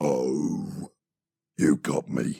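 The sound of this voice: A man puts on a character voice that is guttural and raspy.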